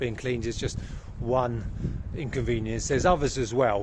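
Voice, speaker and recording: A man with a medium pitch talks at a moderate pace in a somewhat breathy voice. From Britain. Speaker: vlogger. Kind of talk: casual vlog talk. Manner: hesitant, many fillers.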